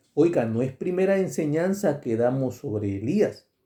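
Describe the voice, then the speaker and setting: A man at a very slow pace, dark and mellow in tone, with very wide pitch swings. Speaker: preacher. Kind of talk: sermon. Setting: radio broadcast. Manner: deliberately slowed, careful articulation; jokey, conversational asides.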